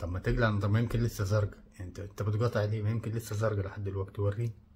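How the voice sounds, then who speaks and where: A man speaks at a very fast pace, somewhat breathy and fairly low in pitch. His intonation is fairly even. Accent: Egyptian. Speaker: reaction video creator. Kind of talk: comedic video commentary.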